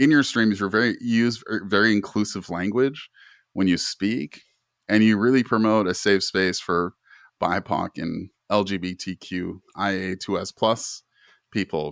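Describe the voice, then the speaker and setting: With a Canadian accent and a plain, everyday voice, a man speaks at a fairly slow pace in a fairly low pitch with ordinary pitch variation, recorded very cleanly against a silent background in a dry, close sound with no echo. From Canada. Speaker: podcast host. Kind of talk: casual interview chat.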